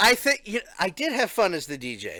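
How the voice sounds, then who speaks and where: In an American accent, a man speaks in a raised, projected voice with a bright, sharp tone and very wide pitch swings. The recording is very clean, with a silent background. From Philadelphia / South Jersey. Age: 30s. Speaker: streamer and podcast host. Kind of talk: casual chat. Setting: live stream.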